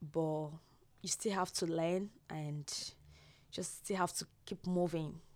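Very slowly, a woman talks in a fairly low pitch with fairly even intonation. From Nigeria. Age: young. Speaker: international student. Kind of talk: interview. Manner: halting.

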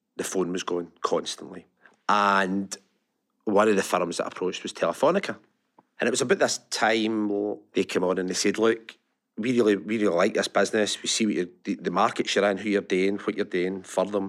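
A man with a Lanarkshire accent speaks at a fairly low pitch and a fairly quick pace, with fairly even intonation. The recording is very clean, with a silent background. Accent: Lanarkshire Scottish. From Scotland, Larkhall, Lanarkshire. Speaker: technology business executive. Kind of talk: interview.

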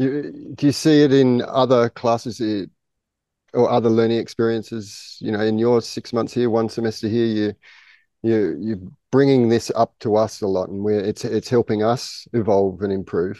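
The speaker has an Australian accent and a dark, mellow tone. The pace is moderate, the intonation fairly even, and the background quiet. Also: man, medium pitch for a man. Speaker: podcast host, school head of teaching. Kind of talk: casual interview. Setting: outdoors on a jungle school campus.

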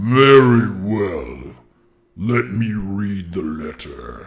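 A man's put-on character voice, fairly low in pitch, very slow, with lively intonation. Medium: actual play. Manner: cool, curt, commanding.

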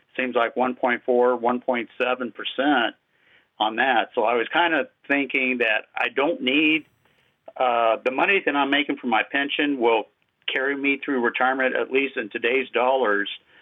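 This is a man with a normal speaking voice at a medium pitch. He keeps a moderate pace, fairly even intonation and very even loudness. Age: 60s. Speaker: retiree. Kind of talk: casual chat.

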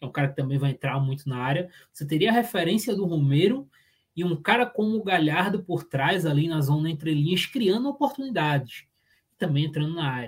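A fairly high-pitched man at a fairly quick pace, a normal speaking voice with lively intonation. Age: 20s. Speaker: football analyst co-host. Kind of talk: casual tactical football discussion.

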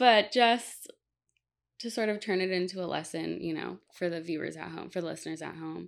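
With a normal speaking voice, a woman of fairly low pitch talks at a moderate pace with ordinary pitch variation. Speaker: podcast host. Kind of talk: casual interview.

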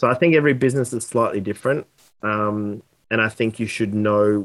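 A man with an Australian accent, his pitch fairly low, his pace moderate. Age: 30s. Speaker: sales consultant. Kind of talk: interview.

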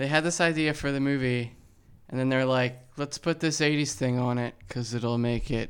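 A man talks at a moderate pace with a medium pitch, fairly even intonation and an unremarkable speaking voice. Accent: American. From New Jersey. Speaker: podcast guest, co-host's partner. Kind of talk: casual chat. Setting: at home.

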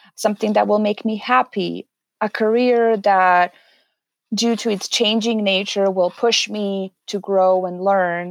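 On a very clean recording with a silent background, a woman with a Serbian accent speaks at a medium pitch with fairly even intonation, the sound dry and close with no echo. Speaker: HR specialist. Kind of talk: interview.

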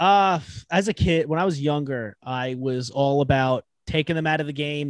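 Speaking at a fairly slow pace, a man with an American accent has a fairly high pitch with ordinary variation, and the sound is dry and close with no echo. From Long Island, New York. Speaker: podcast host. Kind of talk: casual interview chat. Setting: remote call.

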